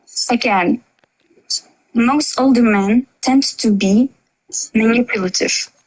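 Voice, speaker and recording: A woman speaks at a very slow pace in a non-native accent, with long, frequent pauses. Her pitch varies in an ordinary way. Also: fairly high pitch for a woman. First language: not English. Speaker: debate participant. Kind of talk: heated debate. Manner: halting.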